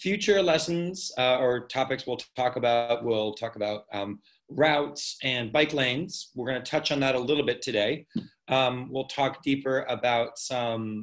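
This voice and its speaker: A man speaks at a moderate pace with ordinary pitch variation. Behind him, the background is quiet. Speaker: cycling instructor presenting a workshop. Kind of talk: lecture. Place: home room. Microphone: webcam.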